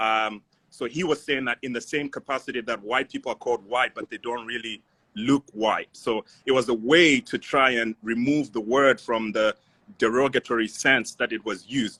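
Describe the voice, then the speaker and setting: A man speaks with an African accent in a bright, sharp tone. The sound is dry and close with no echo. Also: medium pitch for a man, fairly even intonation, moderate pace. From Zimbabwe. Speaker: voice actor and film student. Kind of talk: casual discussion. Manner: halting, many fillers.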